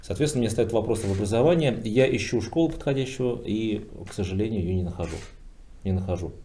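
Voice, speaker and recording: Dark, mellow male tone at a fairly quick pace, lively in intonation, with audible room echo. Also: medium pitch for a man. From Bashkortostan, Russia. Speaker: businessman, PR specialist. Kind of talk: roundtable discussion. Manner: hesitant, many filler sounds.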